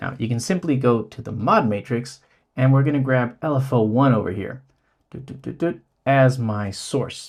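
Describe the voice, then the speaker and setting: A man talks in a somewhat breathy voice, with a quiet background behind him. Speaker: synth YouTuber. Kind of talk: tutorial.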